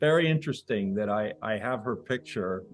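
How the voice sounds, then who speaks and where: A man is speaking. Music plays in the background. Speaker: spiritual teacher. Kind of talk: casual conversation.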